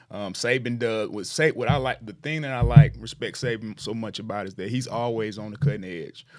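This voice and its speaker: Speaking at a fairly quick pace with hardly any pauses, a man with an unremarkable speaking voice keeps a medium pitch with ordinary variation while his loudness swings widely. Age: 40s. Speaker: high school football coach. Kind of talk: casual interview.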